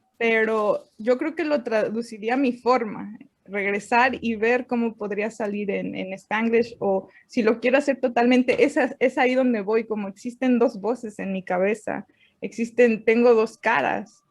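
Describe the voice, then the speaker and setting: A woman with a fairly high voice talks fairly slowly and keeps her intonation fairly even. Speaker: writer. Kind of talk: interview.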